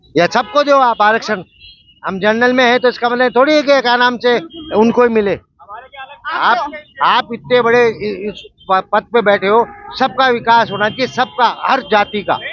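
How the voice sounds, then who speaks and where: An extremely high-pitched man's voice, animated in tone with ordinary pitch variation, amid noticeable background noise. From Rajasthan, Jaipur. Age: 60s. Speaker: member of the public interviewed on the street. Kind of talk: street interview, political opinion.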